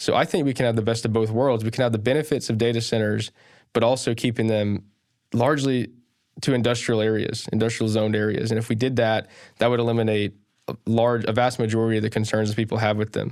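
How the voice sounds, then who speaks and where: A man at medium pitch with a Southern US accent, very fast and monotone, his loudness very even, over a very clean recording with a silent background. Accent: Southern US (Georgia). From Sharpsburg, Georgia, USA. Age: 20s. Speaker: political candidate. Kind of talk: podcast interview answer.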